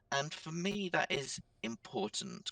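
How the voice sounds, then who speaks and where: With a raised, projected voice, a man with an American accent speaks at a high pitch in a bright, sharp tone, ordinary pitch variation and a dry, close sound with no echo. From England. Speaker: social media platform owner. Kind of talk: podcast interview.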